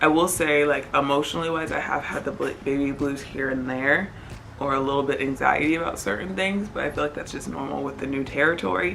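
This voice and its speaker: A woman with a very deep, low pitch speaks quietly in a calm tone at a fairly quick pace. Audible room echo and noticeable background noise surround her voice. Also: ordinary pitch variation. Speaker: vlogger, new mother. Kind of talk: casual vlog update. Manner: lowered voice, quieter so baby stays calm.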